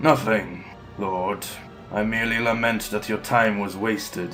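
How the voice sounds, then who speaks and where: Clear music plays in the background. A man uses a put-on character voice at a fairly low pitch and a moderate pace. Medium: audio drama. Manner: terse, cold, clipped.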